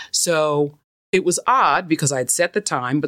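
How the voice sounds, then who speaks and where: This woman speaks with a New York accent and a very deep, low pitch. Her pitch varies in an ordinary way. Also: dry, close sound with no echo. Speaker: entertainment lawyer. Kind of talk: casual interview chat. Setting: studio.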